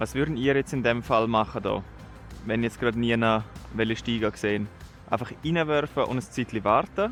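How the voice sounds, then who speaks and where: In a Swiss accent, the speaker talks at a moderate pace with ordinary pitch variation while music plays in the background. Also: man, medium pitch for a man. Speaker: angler. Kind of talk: casual vlog talk to camera. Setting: outdoors.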